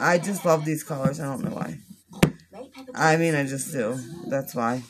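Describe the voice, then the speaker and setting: Loud background noise fills the clip. A woman talks over it at a moderate pace. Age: 30s. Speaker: beauty vlogger and makeup seller; beauty vlogger, makeup seller. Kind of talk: makeup tutorial livestream. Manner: casual chatty. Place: home room. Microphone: phone near.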